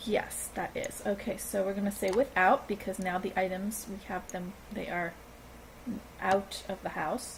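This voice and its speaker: A somewhat breathy woman's voice at medium pitch, fairly even in intonation, at a fairly slow pace. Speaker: gaming video creator. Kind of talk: tutorial. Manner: halting.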